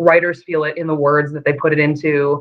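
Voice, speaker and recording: A woman with a very deep, low pitch at a fairly quick pace. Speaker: teacher and performer. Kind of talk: casual chat. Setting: video call.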